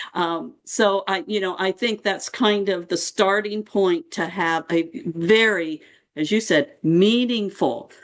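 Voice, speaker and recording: A woman speaks at a very slow pace against a quiet background. Her medium pitch shows ordinary variation. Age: 70s. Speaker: end-of-life care nurse, author. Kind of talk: panel conversation. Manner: halting.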